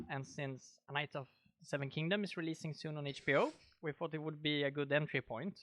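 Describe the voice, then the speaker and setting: A man speaks with a Swedish accent. His pitch is fairly high. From Sweden. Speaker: podcast host. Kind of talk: casual chat.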